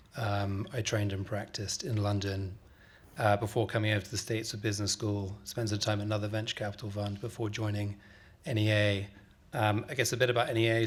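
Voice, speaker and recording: A somewhat breathy, fairly low male voice with a British accent, very fast and monotone with flat intonation. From UK. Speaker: venture capitalist, physician. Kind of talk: panel discussion.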